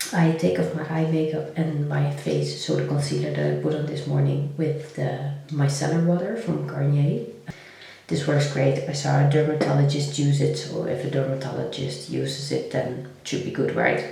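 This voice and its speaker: Soft-spoken and at a moderate pace, a woman talks amid noticeable background noise and audible room echo. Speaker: lifestyle vlogger. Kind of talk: casual vlog talk.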